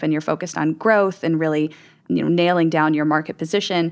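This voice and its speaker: A woman's normal speaking voice, fairly low in pitch, at a fairly quick pace with ordinary pitch variation, on a very clean recording with a silent background. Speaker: experience strategy director. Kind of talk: roundtable discussion.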